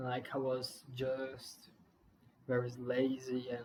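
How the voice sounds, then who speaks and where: The voice belongs to a man with a non-native accent. It sits at a medium pitch. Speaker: beginner YouTuber. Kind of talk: casual vlog monologue. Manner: halting, many fillers and restarts.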